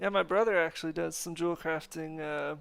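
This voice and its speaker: With an American accent and an ordinary speaking voice, a man talks at a moderate pace and fairly high pitch on a very clean recording with a silent background. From North America. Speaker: gaming streamer. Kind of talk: casual live stream chat. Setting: live stream. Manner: casual, filler-heavy.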